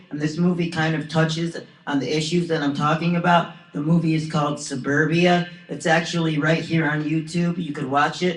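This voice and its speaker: The intonation is monotone and flat. Noticeable background noise runs throughout. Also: man. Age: 20s. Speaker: vlogger. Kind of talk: video monologue. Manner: halting.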